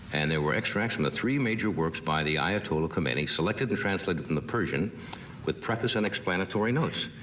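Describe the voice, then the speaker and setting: Talking very fast with very wide pitch swings, a man comes through over noticeable background noise. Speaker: talk show host. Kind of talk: casual chat.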